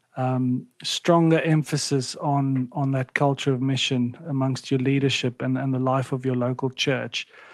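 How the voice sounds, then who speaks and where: Speaking in a South African accent, a man keeps a moderate pace with hardly any pauses. His medium-pitched voice is monotone and flat. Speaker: ministry national director. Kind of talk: casual chat.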